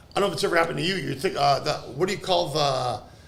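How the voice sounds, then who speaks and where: Noticeable background noise and audible room echo around a man's fairly high voice, its pitch moving in an ordinary way. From Canada, Greek family. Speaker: stand-up comedian. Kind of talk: casual chat.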